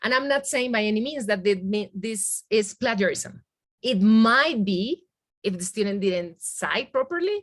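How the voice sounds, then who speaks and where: Speaking at a fairly slow pace, a woman uses lively intonation and a fairly high pitch. She has a Spanish accent. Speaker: Spanish language teacher. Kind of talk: webinar software demonstration. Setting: video call with screen sharing. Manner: halting, with many fillers.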